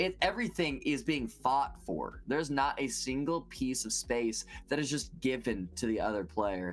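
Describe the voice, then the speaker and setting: An animated tone at a moderate pace, with hardly any pauses. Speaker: esports caster. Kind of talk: live commentary.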